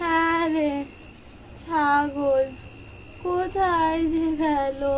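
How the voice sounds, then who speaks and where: Someone does a put-on character voice against clear background noise. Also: female-sounding voice, extremely high pitch for a woman. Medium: audio drama. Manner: plaintive.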